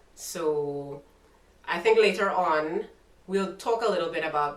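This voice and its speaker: There is audible room echo and noticeable background noise as a woman talks with a Trinidadian accent. Her pitch is fairly low and her pace fairly slow. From Trinidad and Tobago. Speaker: YouTuber. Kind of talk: casual interview chat.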